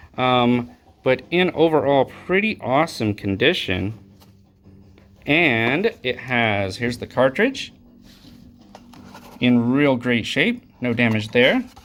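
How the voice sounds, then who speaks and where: A man speaks at a very slow pace with long, frequent pauses, at a medium pitch with ordinary variation. Music plays in the background. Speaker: retro game store owner showing trade-ins. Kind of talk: casual video showcase. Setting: recorded to camera. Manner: casual, many filler words.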